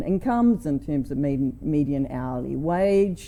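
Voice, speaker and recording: In a New Zealand accent, the voice has a dark, mellow tone and moves at a fairly slow pace with ordinary pitch variation. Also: woman. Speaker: conference speaker, energy researcher. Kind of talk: conference talk. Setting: stage with audience.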